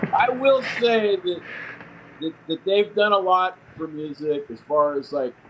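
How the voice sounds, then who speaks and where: A man with an American accent talks at a fairly slow pace in a high pitch and with lively intonation. Noticeable background noise can be heard. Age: 50s. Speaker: punk rock musician. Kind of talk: radio interview. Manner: halting.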